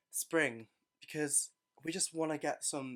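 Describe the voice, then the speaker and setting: A man with an English accent and fairly high pitch, ordinary pitch variation, on a very clean recording with a silent background. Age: 20s. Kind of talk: casual podcast talk.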